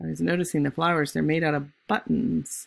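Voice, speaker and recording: At a moderate speed, a woman is talking. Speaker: volunteer reader. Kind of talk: children's story read-aloud. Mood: warm, gentle. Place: home room. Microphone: phone near.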